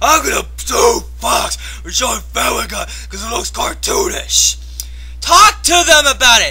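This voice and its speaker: A voice with a furious tone speaks at a fairly slow pace over noticeable background noise. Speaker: video blogger ranting. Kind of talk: angry rant. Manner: loud, furious, shouting and cursing; animated, repetitive, emphatic.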